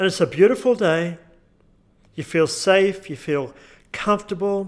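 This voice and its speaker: The recording is very clean with a silent background, capturing a man with an Australian accent. He talks at a fairly slow pace in a high pitch with ordinary pitch variation. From Australia, Newcastle NSW. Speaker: hypnotherapist. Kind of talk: tutorial with guided hypnosis script; guided hypnosis script.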